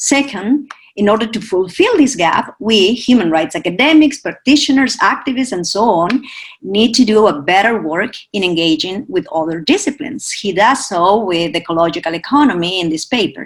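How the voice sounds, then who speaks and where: A woman at a medium pitch sounds somewhat breathy as her pitch swings very widely. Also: moderate pace. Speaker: academic discussant. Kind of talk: prepared academic commentary. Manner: reading from notes.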